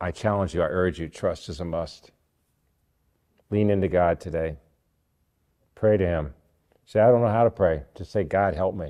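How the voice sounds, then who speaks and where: A man with an American accent speaks in a very deep, low, dark and mellow voice with ordinary pitch variation. His pace is moderate, broken by long, frequent pauses, over a quiet background. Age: 60s. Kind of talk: inspirational faith talk. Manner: animated.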